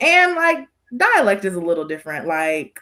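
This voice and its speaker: A woman with an American accent, an ordinary speaking voice at medium pitch, lively intonation and a moderate pace. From Southern California. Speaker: podcast guest. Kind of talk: casual chat.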